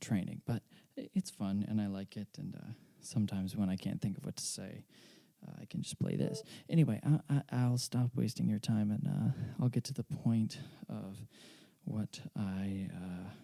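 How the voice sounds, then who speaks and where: Soft-spoken and dark in tone, a man talks at a moderate pace with a fairly low pitch and lively intonation, the sound dry and close with no echo. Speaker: podcast host and amateur pianist. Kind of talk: casual solo monologue. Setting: home at night, late. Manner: halting, many fillers.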